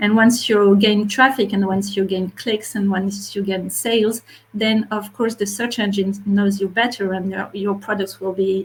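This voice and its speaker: A woman's somewhat breathy, medium-pitched voice in a French accent, at a fairly slow pace with fairly even intonation. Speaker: marketplace retail media specialist. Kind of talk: webinar panel discussion. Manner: halting.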